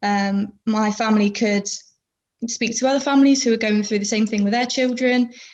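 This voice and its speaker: A woman with a southwest English accent, fairly high in pitch and somewhat breathy, at a moderate pace, with monotone, flat intonation and very even loudness. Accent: south-west English. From England, Plymouth (south-west). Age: 20s. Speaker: podcast guest. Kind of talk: casual interview chat. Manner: hesitant, many fillers.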